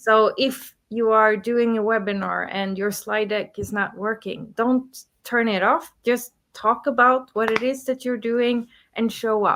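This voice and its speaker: Slow-ish and flat, a woman talks at a fairly high pitch in a monotone. She has a non-native accent and keeps a fairly slow pace. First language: not English. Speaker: business coach and entrepreneur. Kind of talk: podcast interview. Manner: halting, with fillers and restarts.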